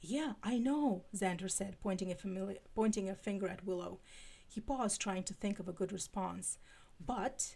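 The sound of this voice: Someone reads in an unforced voice with ordinary pitch variation.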